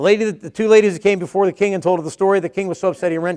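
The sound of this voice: This is an unforced reading voice. The intonation stays fairly even.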